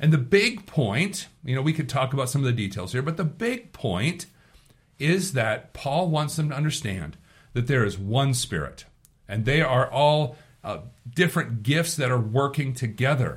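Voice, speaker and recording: A man with a fairly high pitch and a somewhat breathy voice speaks at a moderate pace with lively intonation. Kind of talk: devotional commentary. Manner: informal.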